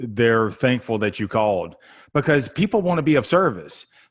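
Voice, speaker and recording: The recording is very clean and the background silent, carrying lively intonation. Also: man. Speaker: sales podcast host. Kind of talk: podcast interview.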